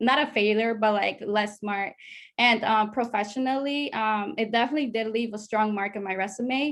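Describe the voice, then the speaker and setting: At a moderate pace and with fairly even intonation, the speech comes through on a very clean recording with a silent background. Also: woman, fairly high pitch for a woman. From Latin America, moved to US at about seven. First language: Spanish. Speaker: study abroad alumna. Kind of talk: panel discussion.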